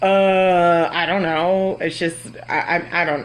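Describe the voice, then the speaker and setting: Loud and with an American accent, a woman is speaking. Noticeable background noise runs underneath. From Florida. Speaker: kindergarten teacher. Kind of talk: live Q&A. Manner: casual, hesitant with fillers.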